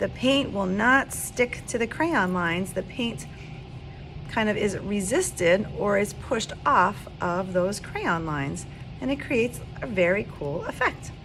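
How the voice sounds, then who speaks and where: A woman speaks at a medium pitch with lively intonation. Her pace is fairly slow, with music in the background. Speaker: art teacher. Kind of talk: tutorial.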